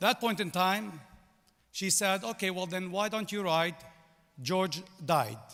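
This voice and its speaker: With a Lebanese accent, a man speaks at a fairly slow pace and high pitch in a bright, sharp tone, showing ordinary pitch variation and long, frequent pauses. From Lebanon. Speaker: business executive, commencement speaker. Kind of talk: commencement speech. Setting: stage with audience.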